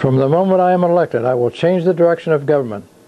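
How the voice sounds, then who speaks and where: A man speaks fairly quickly with ordinary pitch variation while noticeable background noise plays underneath. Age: 80s+. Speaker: independent presidential candidate. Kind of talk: campaign announcement speech. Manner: formal.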